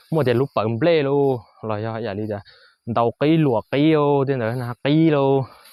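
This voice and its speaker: A man speaks at a medium pitch with a northern Vietnamese accent and ordinary pitch variation. The sound is dry and close, with no echo. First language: Hmong (speaking Vietnamese). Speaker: vlogger, farmer. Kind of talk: casual vlog narration. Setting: outdoors on a farm. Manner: halting, many fillers.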